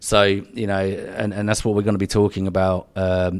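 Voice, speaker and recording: In a southern English accent, a man with a very deep, low pitch talks at a fairly quick pace in a monotone, flat intonation. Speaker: podcast co-host. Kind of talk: casual banter chat. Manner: jokey, bantering.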